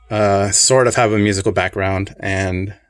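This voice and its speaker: Music plays in the background. A man speaks at a fairly slow pace and a fairly low pitch. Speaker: pin collector video reviewer. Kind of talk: casual product review. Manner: relaxed, conversational.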